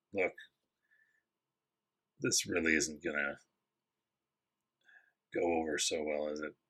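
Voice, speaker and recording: A man talks in a put-on character voice that is raspy and very deep, with flat, monotone intonation. He moves at a moderate pace but leaves long, frequent pauses. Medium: actual play. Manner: casual, self-assured.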